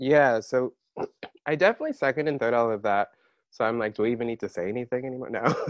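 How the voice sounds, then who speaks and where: A man with an American accent speaks at a very fast pace and medium pitch. His sound is dry and close with no echo, with ordinary pitch variation. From Maryland, US. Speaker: podcast co-host, PhD student. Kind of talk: casual chat.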